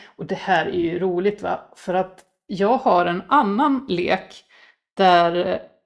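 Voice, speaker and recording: A woman's intonation stays lively even as she talks at a fairly slow pace. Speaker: tarot reader. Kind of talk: tarot reading. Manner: halting.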